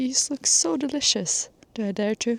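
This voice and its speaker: In a non-native accent, a woman with a fairly high pitch speaks at a fairly slow pace, with a dry, close sound and no echo. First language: not English. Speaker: travel vlogger. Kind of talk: travel vlog chat.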